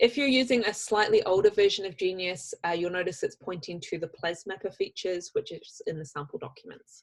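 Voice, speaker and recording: A woman talks at a fairly quick pace in a New Zealand accent, with hardly any pauses. Her loudness swings a lot. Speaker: software trainer. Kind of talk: tutorial. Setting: video call.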